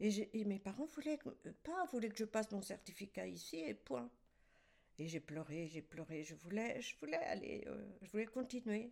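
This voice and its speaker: A woman speaks at medium pitch with vocal fry and a moderate pace. Her pitch swings very widely. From France, Champagne (Aube). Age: 80s+. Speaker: retired winegrower. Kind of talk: life-story interview. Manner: halting, with repetitions.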